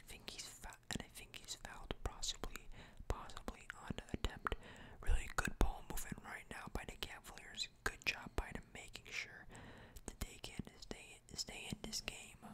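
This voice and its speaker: Whispered words come at a moderate speed. There is noticeable noise behind them. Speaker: ASMR creator. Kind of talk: ASMR sports commentary.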